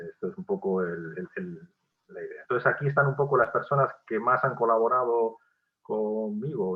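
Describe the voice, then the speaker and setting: Very wide swings in pitch mark this man's speech. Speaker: professor. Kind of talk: lecture. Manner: halting.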